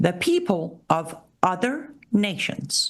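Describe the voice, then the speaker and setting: A woman with a medium-pitched voice speaks in a passionate tone, her pitch swinging very widely, with vocal fry. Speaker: political commentator and show host. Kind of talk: live solo commentary show. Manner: emphatic, passionate.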